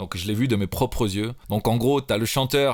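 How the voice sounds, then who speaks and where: On a very clean recording with a silent background, a man of medium pitch talks at a moderate pace with lively intonation. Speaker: rapper and music producer. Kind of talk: tutorial. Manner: casual, hesitant with fillers.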